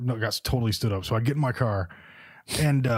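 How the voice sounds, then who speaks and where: On a very clean recording with a silent background, a man speaks at a very fast pace, somewhat breathy, with ordinary pitch variation. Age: 40s. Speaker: podcast guest; real estate agent.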